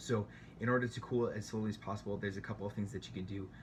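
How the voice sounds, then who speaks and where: Vocal fry runs through a man's fairly low-pitched voice. He speaks at a very fast pace with monotone, flat intonation. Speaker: home baker sharing tips. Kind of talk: tutorial. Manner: hesitant, many fillers.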